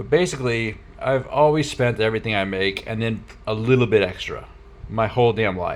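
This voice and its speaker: Fairly quick male speech at a medium pitch, with ordinary pitch variation. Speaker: truck driver vlogger. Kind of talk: personal video diary. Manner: halting, many fillers.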